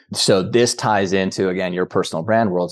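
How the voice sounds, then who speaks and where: Against a quiet background, a man with a normal speaking voice talks at a fairly low pitch with fairly even intonation. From rural Canada. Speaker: peak performance coach and business founder. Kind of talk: interview conversation.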